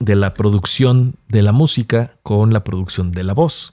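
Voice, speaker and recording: A man speaks with a Mexican accent in a fairly low pitch and a dark, mellow tone. The recording is very clean, with a silent background, and dry and close with no echo. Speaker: podcast host. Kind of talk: casual chat.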